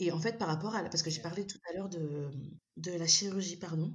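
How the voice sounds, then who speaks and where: A woman speaks at a fairly quick pace. Her voice is somewhat breathy and fairly low in pitch. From Malagasy heritage. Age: 30s. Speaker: endometriosis patient. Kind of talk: casual interview. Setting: remote recording. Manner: animated.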